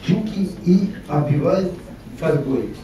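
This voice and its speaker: Noticeable background noise and audible room echo surround a voice whose pitch varies in an ordinary way. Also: man. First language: not Russian, foreign speaker (speaking Bulgarian). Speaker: company representative presenting technology. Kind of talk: presentation. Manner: formal; occasional halting self-corrections.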